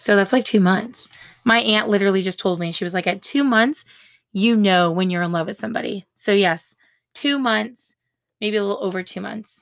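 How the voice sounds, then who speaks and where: An animated woman with an American accent at medium pitch, moderate pace, ordinary pitch variation and long, frequent pauses, on a very clean recording with a silent background. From US West Coast. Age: 20s. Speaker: podcast host and blogger. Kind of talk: casual chat.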